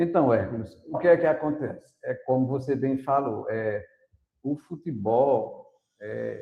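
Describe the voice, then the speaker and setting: A man speaks at a fairly slow pace and a medium pitch, with ordinary pitch variation. His voice is somewhat breathy. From Brazil, Paraíba sertão (Princesa Isabel). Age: 60s. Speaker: teacher and runner. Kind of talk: podcast interview.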